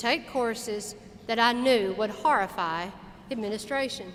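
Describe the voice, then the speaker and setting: A woman speaks in a normal speaking voice, pitched fairly high. She keeps a moderate pace with ordinary pitch variation. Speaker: commencement speaker, university alumna. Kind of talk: commencement speech. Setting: auditorium, live address to an audience.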